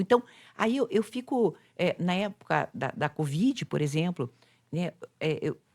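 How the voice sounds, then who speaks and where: The sound is dry and close with no echo. The recording is very clean, with a silent background. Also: woman. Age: 60s. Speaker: psychologist and influencer. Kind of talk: casual chat.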